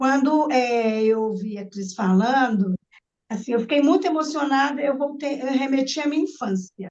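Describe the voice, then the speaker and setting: This woman's high voice moves with lively intonation at a fairly slow pace. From Brazil, Minas Gerais (Nova Lima). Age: 60s. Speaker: participant in discussion circle. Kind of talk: online group discussion, personal testimony. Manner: halting, with repetitions.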